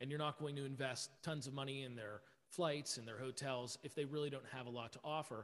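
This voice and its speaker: An ordinary speaking voice with an American accent moves at a fairly quick pace. The intonation stays fairly even. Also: man. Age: 30s. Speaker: event production company owner. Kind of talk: interview.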